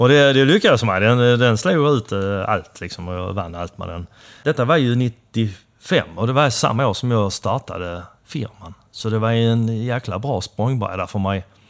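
Lively intonation marks a man's normal speaking voice at a moderate pace. The recording is very clean with a silent background. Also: medium pitch for a man. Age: 50s. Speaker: motorcycle builder and shop owner. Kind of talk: casual interview. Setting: motorcycle shop.

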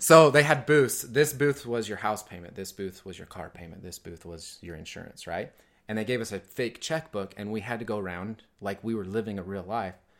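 A normal speaking voice from a man with an American accent: fairly low pitch, fairly quick pace, lively intonation, big swings in loudness and hardly any pauses, on a very clean recording with a silent background. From rural Utah. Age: 20s. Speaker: business owner. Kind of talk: casual interview.

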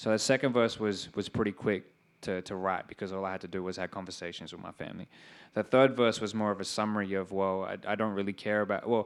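A man with a fairly low voice and an Australian accent, talking at a very fast pace with fairly even intonation, on a very clean recording with a silent background. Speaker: rapper. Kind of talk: interview on stage. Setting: stage with audience.

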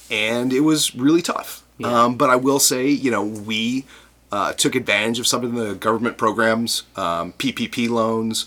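The voice has a bright, sharp tone and an American accent. It moves at a fairly slow pace with fairly even intonation. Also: man, medium pitch for a man. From US Midwest, Chicago. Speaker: brewers' trade association director. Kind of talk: casual interview.

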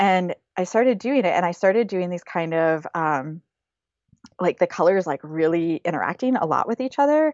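A woman with a Midwestern US accent speaks at a fairly low pitch. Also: lively intonation, moderate pace. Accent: US Midwest. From Michigan, near Flint. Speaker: fiber artist. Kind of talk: interview.

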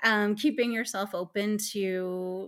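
A woman with a Canadian accent has an unremarkable speaking voice at a medium pitch with ordinary pitch variation. The recording is very clean, with a silent background. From Eastern Ontario, Canada. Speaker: lawyer. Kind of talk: interview.

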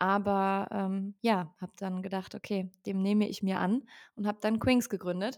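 A woman with a normal speaking voice at medium pitch talks in fairly even intonation, the sound dry and close with no echo on a very clean recording with a silent background. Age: 20s. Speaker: founder and speaker on workplace topics. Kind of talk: podcast interview.

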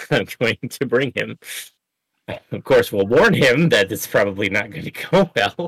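Recorded dry and close with no echo, a man talks at a fairly slow pace with very wide pitch swings. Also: medium pitch for a man. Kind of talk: casual chat, answering questions.

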